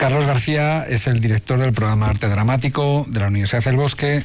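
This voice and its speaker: A man's fairly quick, fairly even-toned speech over noticeable background noise. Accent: Spanish. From Spain. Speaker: actor and drama teacher. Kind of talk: interview.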